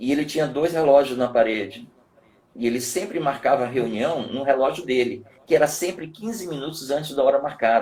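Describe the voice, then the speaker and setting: This man has a plain, everyday voice, pitched at a medium level with ordinary pitch variation, and he moves along at a fairly quick pace. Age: 60s. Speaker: martial arts professor. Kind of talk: live webinar talk.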